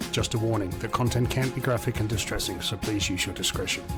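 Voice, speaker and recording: Over music in the background, a man with an Australian accent talks fairly quickly in a fairly low pitch. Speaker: podcast host. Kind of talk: podcast intro.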